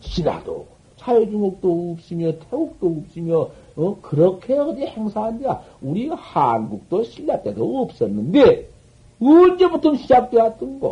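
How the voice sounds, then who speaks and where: Very slow and high-pitched, a man speaks with a dark, mellow tone and very wide pitch swings. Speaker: Buddhist master. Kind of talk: dharma talk. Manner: animated storytelling.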